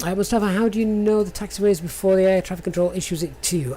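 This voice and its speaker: Speaking at a very fast pace with a strong northern English accent, a woman uses a fairly low pitch against noticeable background noise. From northern England, near Sheffield. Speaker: flight sim streamer. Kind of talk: live stream commentary. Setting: live stream. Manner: halting.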